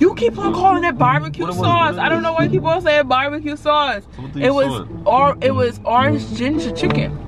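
Clear music plays in the background. The speech moves at a moderate pace, and the sound is dry with no echo. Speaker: vlogger. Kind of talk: casual vlog chat. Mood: playful, laughing. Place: car. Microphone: camera far.

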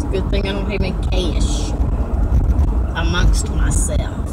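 A woman talks fairly slowly through loud background noise. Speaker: vlogger. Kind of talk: casual vlog chat. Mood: warm, chatty. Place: car. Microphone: phone near.

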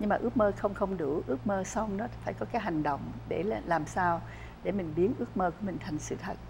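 A woman speaks over noticeable background noise. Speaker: network marketing leader. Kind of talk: interview. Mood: warm, encouraging. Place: studio.

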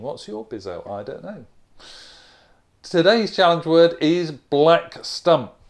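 Over a quiet background, a man with an Australian accent speaks at a high pitch and a very slow pace. His loudness swings widely. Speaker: accent reduction coach. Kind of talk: casual talk to camera, vocabulary lesson. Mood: relaxed, friendly, amused. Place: home room. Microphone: lapel.

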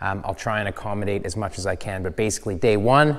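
Against a quiet background, a man with a fairly low pitch talks fairly quickly, his pitch varying in an ordinary way. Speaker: channel host. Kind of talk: promotional talk to camera. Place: workshop.

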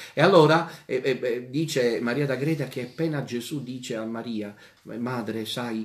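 Medium-pitched man at a fairly slow pace, ordinary pitch variation, audible room echo and noticeable background noise. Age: 40s. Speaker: priest. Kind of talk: catechesis lecture. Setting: radio and TV broadcast.

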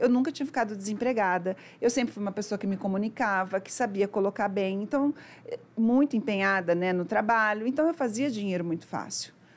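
With a fairly high pitch and ordinary pitch variation, a woman speaks at a fairly quick pace. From Brazil, São Paulo state (Araçatuba); São Paulo state, Brazil. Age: 40s. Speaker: financial mentor; podcast guest. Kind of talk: interview conversation. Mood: warm, animated, often smiling. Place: studio. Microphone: studio mic.

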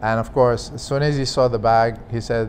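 A man with an Arabic accent speaks at a moderate pace in a monotone, flat delivery over light background noise. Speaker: former aviation official, business executive. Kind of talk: interview, personal recollection; interview answer. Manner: halting. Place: home room. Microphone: lapel.

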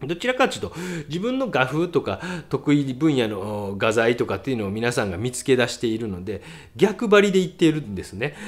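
A man's fairly high voice at a moderate pace, with very wide pitch swings. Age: middle-aged. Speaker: painter and art critic. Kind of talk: casual critique of viewers' artworks, read-out submissions. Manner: casual, rambling, self-deprecating.

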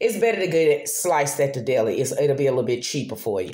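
A woman's voice with a very deep, low pitch. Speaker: vlogger. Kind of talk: casual vlog chat. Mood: chatty, relaxed. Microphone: phone near.

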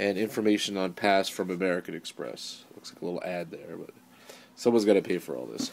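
Some light background noise is present. A man is talking. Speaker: event host unboxing. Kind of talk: casual unboxing narration. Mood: upbeat, excited. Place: home room. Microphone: phone near.

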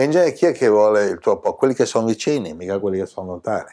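A man's voice carries a dark, mellow tone over a quiet background. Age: 60s. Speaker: spiritual teacher. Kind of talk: spiritual talk to camera. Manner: animated. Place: home room.

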